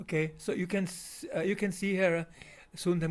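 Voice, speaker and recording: A high-pitched man with a German accent, in a flat monotone at a moderate pace. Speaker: video commentator. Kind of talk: video narration. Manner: halting.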